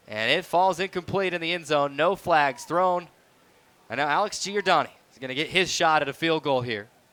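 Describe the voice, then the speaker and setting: A man's bright, sharp voice at a moderate pace with ordinary pitch variation. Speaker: sports radio play-by-play announcer. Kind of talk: live football radio play-by-play broadcast.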